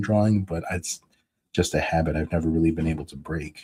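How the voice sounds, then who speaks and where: Mumbling at a very fast pace, a man speaks in a very deep, low pitch with a somewhat breathy, dark, mellow tone and fairly even intonation. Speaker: comic book artist streaming his drawing. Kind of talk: casual live stream chat. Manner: mumbling to himself.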